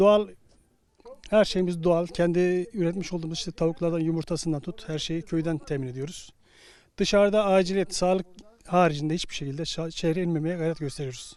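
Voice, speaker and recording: A man's high-pitched voice, fairly quick with fairly even intonation. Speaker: retiree. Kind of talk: street interview. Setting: outdoors.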